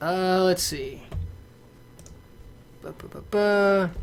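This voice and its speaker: A man speaks with music playing in the background. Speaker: movie and game reviewer. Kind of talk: casual stream update. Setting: livestream. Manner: animated.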